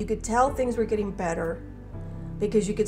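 Clear music plays in the background. Over it, a woman speaks with fairly even intonation. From Southern California. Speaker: clean air advocate. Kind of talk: personal testimony interview. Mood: reflective, warm, concerned. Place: kitchen. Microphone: lapel.

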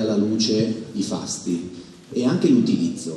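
Light background noise and audible room echo surround a man's voice. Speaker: theatre owner and event producer. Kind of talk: press conference speech. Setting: stage with audience. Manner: halting. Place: stage. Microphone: podium.

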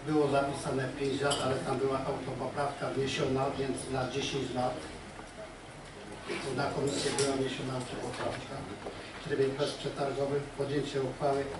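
Over loud background noise and audible room echo, a man talks at a moderate pace with long, frequent pauses. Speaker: council session chair. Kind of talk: formal meeting agenda reading. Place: meeting room.

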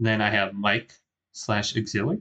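A man speaks with a bright, sharp tone at fairly low pitch. His intonation is fairly even. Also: moderate pace.

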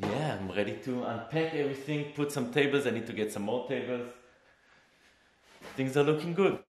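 Light background noise and audible room echo surround the recording. A man speaks at a fairly quick pace. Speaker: maker vlogger. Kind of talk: casual vlog chat. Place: workshop. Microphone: phone near.

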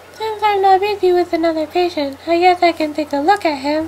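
In a put-on character voice at an extremely high pitch, a woman talks at a fairly quick pace with fairly even intonation against clear background noise. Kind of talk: audio drama dialogue.

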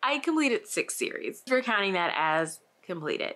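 Against a quiet background, a woman projects a raised voice at a moderate pace, her pitch swinging very widely. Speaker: book vlogger. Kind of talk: casual vlog chat. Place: home room.

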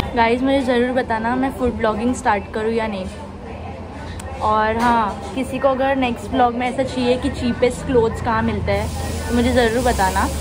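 A woman talks at a fairly slow pace in a monotone, flat intonation. Music is clearly heard in the background. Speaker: vlogger. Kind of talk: casual vlog chat. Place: cafe. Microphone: phone near.

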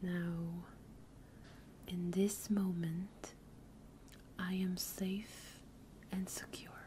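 Whispering, a woman uses a soothing tone. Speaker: streamer doing a therapy-style session. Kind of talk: calm guided exercise, role-play counseling. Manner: soft, hushed soothing ASMR voice. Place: home room.

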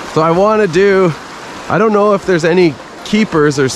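A man's voice with noticeable background noise and a dry sound with no echo. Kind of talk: casual vlog chat. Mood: excited, amazed. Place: waterside. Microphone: phone near.

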